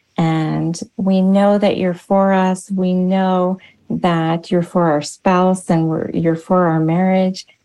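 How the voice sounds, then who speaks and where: Her voice is a dark, mellow tone at a medium pitch, with very even loudness. This woman speaks at a very slow pace in a monotone, flat intonation. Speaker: speaker and personal coach. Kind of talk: casual interview chat.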